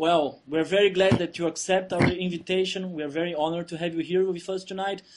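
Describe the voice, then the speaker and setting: This man has a high pitch and a Brazilian Portuguese accent. He keeps a moderate pace against a quiet background. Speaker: channel host, interviewer. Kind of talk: interview.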